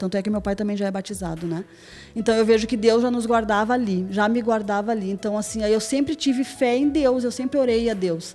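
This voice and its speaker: Using a normal speaking voice, a woman talks at a fairly quick pace with a fairly high pitch and ordinary pitch variation. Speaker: churchgoer giving testimony, hairdresser. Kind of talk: testimony interview.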